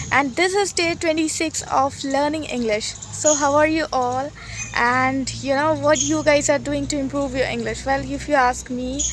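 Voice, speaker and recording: Someone with an Indian accent speaks at a moderate pace against noticeable background noise. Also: woman. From Uttar Pradesh, India. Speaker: university student, English learner. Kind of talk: casual talk to camera. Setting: outdoors. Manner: hesitant, many fillers.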